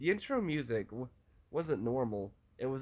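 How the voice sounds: Reading done in a natural voice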